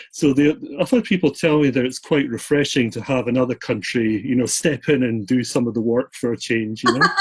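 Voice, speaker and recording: A man talks at a fairly quick pace with hardly any pauses and ordinary pitch variation. Noticeable background noise can be heard. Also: medium pitch for a man. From Scotland. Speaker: self-published author. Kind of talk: interview. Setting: video call.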